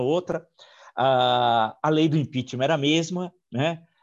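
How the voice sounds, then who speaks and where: A man's fairly high voice rises and falls with lively intonation. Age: 60s. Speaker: historian and interviewer. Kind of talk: interview. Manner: halting.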